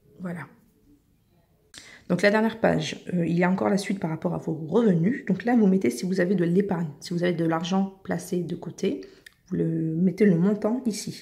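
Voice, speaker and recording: Using vocal fry and a dark, mellow tone, a woman speaks at a moderate pace in a fairly low voice with ordinary pitch variation and long, frequent pauses. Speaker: YouTuber giving paperwork help. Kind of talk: tutorial. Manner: casual, hesitant with fillers.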